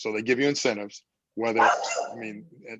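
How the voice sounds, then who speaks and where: A man talks at a medium pitch. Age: 60s. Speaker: housing developer. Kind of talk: community meeting Q&A.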